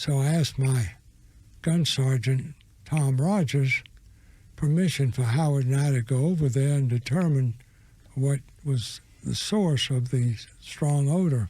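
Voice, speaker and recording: With an American accent, a man speaks at a fairly slow pace with long, frequent pauses, a fairly high pitch, a dark, mellow tone, a somewhat breathy quality and very even loudness. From US South. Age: 80s+. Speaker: war veteran. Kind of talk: testimony.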